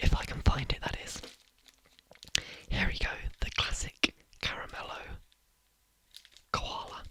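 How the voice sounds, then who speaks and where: A man whispering at a fairly slow pace, with long, frequent pauses and big swings in loudness. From Britain. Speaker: ASMR creator. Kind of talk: ASMR whispering. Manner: soft-spoken.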